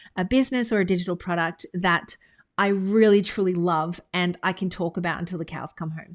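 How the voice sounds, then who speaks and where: A woman with an Australian accent at medium pitch, fairly even intonation and a fairly quick pace, on a very clean recording with a silent background. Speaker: business coach. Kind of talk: tutorial. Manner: casual.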